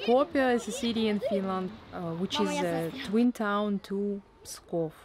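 Against noticeable background noise, a woman with a Russian accent speaks at a very slow pace. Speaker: travel vlogger. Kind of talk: travel vlog narration.

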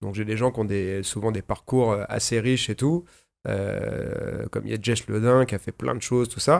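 With ordinary pitch variation, a man's fairly low voice moves along at a moderate pace. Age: 40s. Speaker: podcast host; podcast host, martial arts teacher. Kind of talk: casual chat. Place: studio. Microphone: studio mic.

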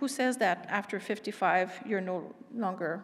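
A woman talks in a French accent with ordinary pitch variation. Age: 50s. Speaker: invited expert speaker; speaker. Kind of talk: lecture. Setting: stage with audience. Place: hall. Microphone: podium.

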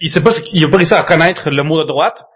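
A man with a Quebec accent speaks at a fairly high pitch. His intonation stays fairly even. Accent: Québécois French. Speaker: podcast co-host. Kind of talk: casual chat.

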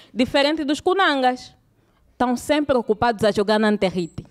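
Over a quiet background, a woman with an Angolan accent talks at a fairly quick pace, her high pitch carrying lively intonation. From Luanda, Angola (Cazenga). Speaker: stand-up comedian. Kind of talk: stand-up comedy. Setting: stage with live audience. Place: stage. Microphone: handheld.

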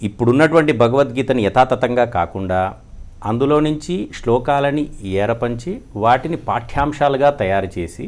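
This is a man with a plain, everyday voice. He has a medium pitch and ordinary pitch variation. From Andhra Pradesh, India. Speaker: founder of a Gita education institute. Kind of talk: interview. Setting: studio.

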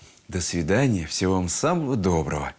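Using vocal fry, a man with a very deep, low pitch talks at a moderate pace with very wide pitch swings. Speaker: religious TV program host. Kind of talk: closing address to viewers. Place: studio. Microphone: lapel.

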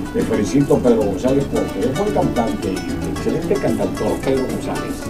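A man's voice over clear music in the background. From Venezuela. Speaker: veteran radio announcer. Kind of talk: radio announcer on-air patter. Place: studio.

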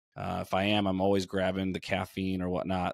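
A man's very deep, low voice at a very fast pace, with a quiet background and a dry sound with no echo. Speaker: nutrition coach, podcast co-host. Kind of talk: conversational podcast discussion. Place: home room. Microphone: studio mic.

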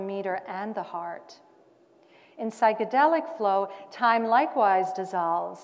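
At a fairly slow pace, the speaker uses a normal speaking voice with ordinary pitch variation. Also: woman. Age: 50s. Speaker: cabaret singer and performance artist. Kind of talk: scripted monologue performance. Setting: stage at a conference. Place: hall.

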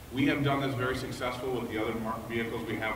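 A very fast-talking man of medium pitch, fairly even intonation, audible room echo and noticeable background noise. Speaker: automotive product planner. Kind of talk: product presentation. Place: hall. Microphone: camera far.

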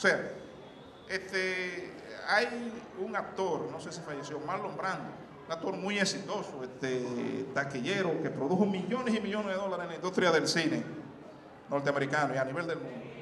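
A man's high-pitched voice at a moderate pace, ordinary pitch variation, noticeable background noise behind it. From Dominican Republic. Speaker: motivational speaker, alumnus; motivational speaker. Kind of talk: motivational talk. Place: hall. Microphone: handheld.

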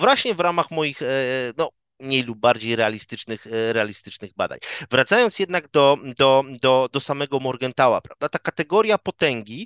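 In a quiet background, a man talks at a moderate pace with a medium pitch and lively intonation. The sound is dry, with no echo. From Poland, Szczecin; Poland. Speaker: political scientist, lecturer; guest. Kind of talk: academic interview. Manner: hesitant, frequent fillers and repetitions. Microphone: headset.

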